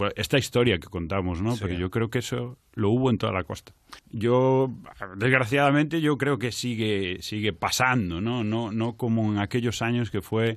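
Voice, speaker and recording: At a moderate pace, a man with an unremarkable speaking voice talks in a medium pitch with ordinary pitch variation. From Galicia, Culleredo near A Coruña. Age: 30s. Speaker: actor and comedian. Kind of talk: casual interview.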